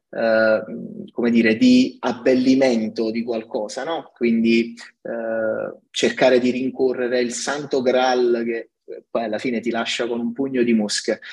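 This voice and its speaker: Flat and monotone, a man speaks at a fairly slow pace. His pitch sits in the medium range. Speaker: tech company CTO. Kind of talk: podcast interview. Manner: halting, many fillers and repetitions.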